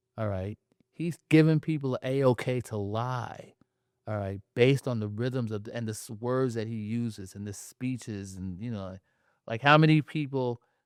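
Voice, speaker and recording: A man with a New York accent speaks at a moderate pace in a medium pitch. His loudness swings widely, and the sound is dry and close with no echo. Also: ordinary pitch variation, very clean recording, silent background. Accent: New York area American. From New Jersey, Jersey City. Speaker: playwright and poet. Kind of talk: casual chat. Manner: animated.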